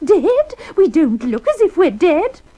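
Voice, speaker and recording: In a put-on character voice, a woman squeaks at an extremely high pitch with very wide pitch swings, speaking at a fairly slow pace. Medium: read story.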